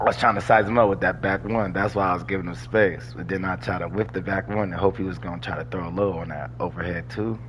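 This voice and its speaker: Noticeable background noise sits under a man's very deep, low voice. He talks in an animated tone at a very fast pace. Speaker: gaming streamer. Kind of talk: live gameplay commentary. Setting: live stream. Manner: casual, animated.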